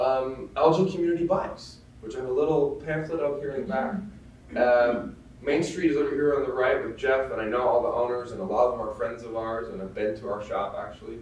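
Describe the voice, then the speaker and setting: At a fairly quick pace, a man with a fairly high pitch and ordinary pitch variation speaks amid noticeable background noise and audible room echo. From Netherlands, Amsterdam. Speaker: bike shop manager. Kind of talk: presentation to an audience. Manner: hesitant, many fillers.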